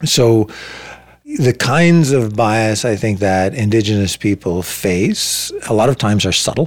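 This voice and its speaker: Man with a Canadian accent and an unremarkable speaking voice, fairly low pitch and fairly slow pace. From Ontario, Canada (Saugeen Peninsula First Nation). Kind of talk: interview. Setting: in person, same room.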